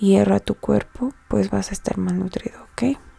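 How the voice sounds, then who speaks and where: This is a woman's voice. She is soft-spoken. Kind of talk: educational study-guide narration, soft-spoken.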